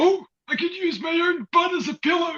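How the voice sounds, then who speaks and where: The voice is a put-on character voice with an extremely high pitch. It moves at a moderate pace. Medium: stage play.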